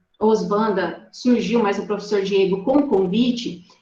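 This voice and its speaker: An animated voice with an audible echo from the room. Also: woman. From Rondônia, Brazil. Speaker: ornithologist, guest lecturer. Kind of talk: online lecture.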